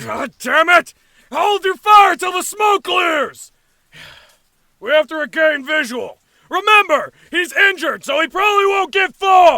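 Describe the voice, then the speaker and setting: Sound effects play in the background as a put-on character voice speaks at a moderate pace. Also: man, extremely high pitch for a man. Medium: audio drama. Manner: sneering, cocky.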